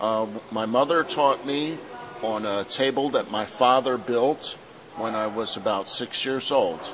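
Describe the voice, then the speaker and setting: Here a man speaks at a fairly slow pace with a medium pitch. His pitch varies in an ordinary way, and there is noticeable background noise. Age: 60s. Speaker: coaching course student. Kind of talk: interview.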